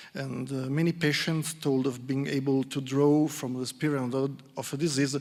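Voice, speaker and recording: Against a silent background in a very clean recording, a man with an Italian accent speaks in a dark, mellow tone with fairly even intonation. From Italy, Milan. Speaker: psychologist. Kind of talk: conference talk. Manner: halting.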